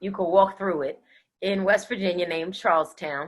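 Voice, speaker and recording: This woman's pitch sits in the medium range. She talks in an American accent. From Pennsylvania, Reading near Philadelphia. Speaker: radio host. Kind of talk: interview.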